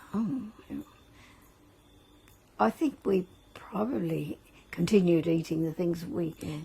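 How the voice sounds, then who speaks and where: Speaking very slowly with long, frequent pauses, a woman keeps her intonation lively. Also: fairly low pitch for a woman. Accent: Australian. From Australia. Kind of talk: interview answer. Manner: casual, reflective.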